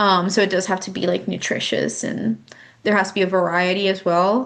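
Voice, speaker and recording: This woman's voice sits at a medium pitch and carries vocal fry. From Brazil. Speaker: youth exchange volunteer trainer. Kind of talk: recorded training presentation. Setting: solo recording. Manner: deliberately slow; hesitant, many fillers.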